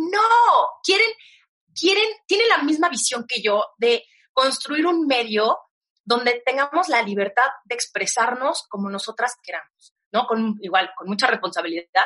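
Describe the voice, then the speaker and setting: A woman's high voice swings very widely in pitch while she talks at a fairly slow pace. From Mexico. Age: 30s. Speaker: digital media entrepreneur and author. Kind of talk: interview conversation.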